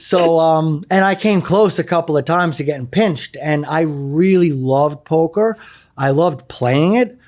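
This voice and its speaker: A fairly high-pitched man with a New York accent, very even loudness, ordinary pitch variation and a moderate pace. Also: very clean recording, silent background. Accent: East Coast (New York). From New York City (Queens, Long Island). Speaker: math teacher and former poker player. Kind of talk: interview.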